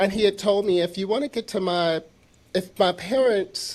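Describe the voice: A soft-spoken man at a fairly slow pace, with ordinary pitch variation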